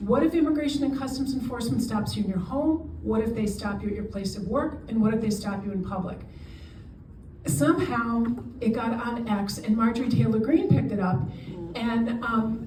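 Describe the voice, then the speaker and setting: With lively intonation and a fairly high pitch, a woman speaks amid audible room echo. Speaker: immigration lawyer and charity director. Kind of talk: lecture. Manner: fast.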